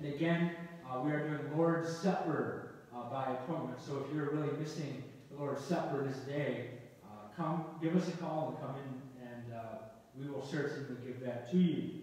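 Strong room echo surrounds a man talking at a moderate pace with fairly even intonation. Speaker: pastor. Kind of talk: church announcements. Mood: warm, friendly. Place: church. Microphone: camera far.

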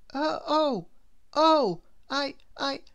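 Lively in intonation and fairly bright in tone, this put-on character voice moves at a very slow pace. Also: woman, high pitch for a woman.

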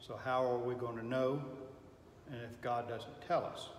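A man speaks fairly slowly with monotone, flat intonation. Audible room echo and light background noise surround him. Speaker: Sunday school teacher. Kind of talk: lecture. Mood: thoughtful, reflective. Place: classroom. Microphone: camera far.

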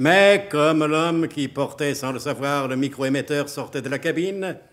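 A man speaks in a plain, everyday voice at a medium pitch. His pace is moderate, with ordinary pitch variation. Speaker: announcer narrator of radio drama. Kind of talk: radio drama narration, mock-solemn announcer. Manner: pompous, tongue-in-cheek, brisk and playful.

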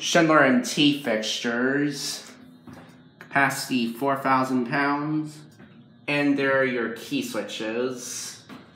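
In a room with audible echo and light background noise, a man speaks very slowly with monotone, flat intonation. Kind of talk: casual commentary. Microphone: phone near.

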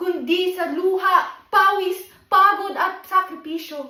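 Projecting a raised voice, a woman speaks with a bright, sharp tone. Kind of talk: spoken word poetry, a defiant protest piece about inequality in education. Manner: impassioned, defiant, rhythmic and declamatory, building to a forceful close.

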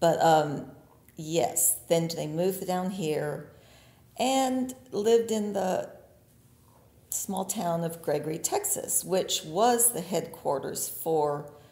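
At a very slow pace, a woman talks with lively intonation in a fairly low pitch. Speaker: farmer. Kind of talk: interview answer.

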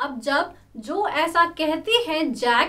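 Lively intonation runs through a woman's high-pitched voice. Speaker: teacher explaining a story. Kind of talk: lecture. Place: classroom.

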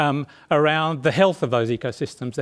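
A man with an Australian accent talks with ordinary pitch variation over a quiet background. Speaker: marine scientist; panelist. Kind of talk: short talk. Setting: stage with audience. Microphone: podium.

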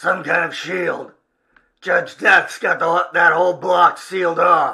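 A man uses a put-on character voice, high in pitch. He talks at a fairly slow pace. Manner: curt, gruff.

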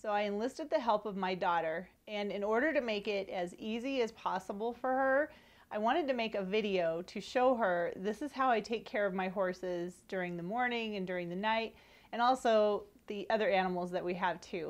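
Her pitch varies in an ordinary way as a woman speaks at a fairly quick pace. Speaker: horse owner vlogger. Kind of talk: casual vlog chat. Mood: friendly, upbeat. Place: home room. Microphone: lapel.

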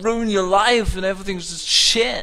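The speech comes at a moderate pace, with noticeable background noise behind it. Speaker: gaming streamer. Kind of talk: profanity-laced angry rant at a video game, spiraling into absurd hypotheticals. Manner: exasperated, shouting outbursts of disbelief.

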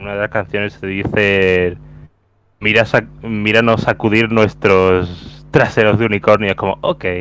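A man with a Castilian accent, fairly low in pitch, in a monotone, flat intonation at a fairly slow pace, over light background noise. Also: dry sound with no echo. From Spain. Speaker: podcast co-host. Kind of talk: casual chat.

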